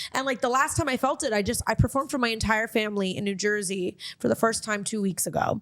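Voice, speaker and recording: With a Miami accent, a woman talks very fast in a fairly high voice. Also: ordinary pitch variation, hardly any pauses. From Miami, Florida. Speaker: comedian and podcast host. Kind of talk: casual chat.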